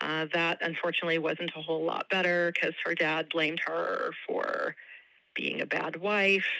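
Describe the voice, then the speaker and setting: A woman speaks at a moderate pace, her fairly low voice bright and sharp in tone. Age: 50s. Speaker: relative of a missing person. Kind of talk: interview.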